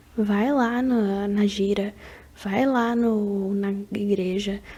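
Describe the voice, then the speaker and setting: A soft-spoken woman talks with a relaxed tone at medium pitch. Her intonation is monotone and flat. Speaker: ASMR creator. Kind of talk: casual advice talk to camera, ASMR. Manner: soft-spoken, relaxed.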